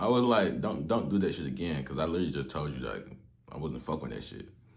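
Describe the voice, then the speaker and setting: A man talks in an animated tone, his pitch swinging very widely. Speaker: dating advice youtuber. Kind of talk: casual storytelling.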